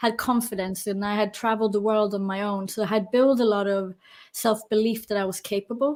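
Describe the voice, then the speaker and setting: Fairly high-pitched, a woman with a slight London accent talks at a fairly quick pace with fairly even intonation on a very clean recording with a silent background. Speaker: personal trainer and coach. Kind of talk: interview.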